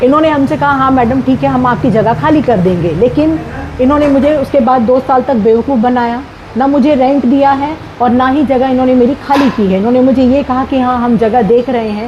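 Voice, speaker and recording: Amid noticeable background noise, a woman with a high voice speaks at a moderate pace with ordinary pitch variation and very even loudness. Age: 60s. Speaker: retired teacher, property owner speaking to press. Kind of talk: press statement. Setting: speaking to media.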